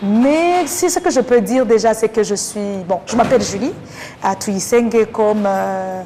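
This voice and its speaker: A woman with a Rwandan accent, fairly high in pitch, with lively intonation at a fairly slow pace, over noticeable background noise. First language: Kinyarwanda (speaking French). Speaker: interview guest. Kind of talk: interview.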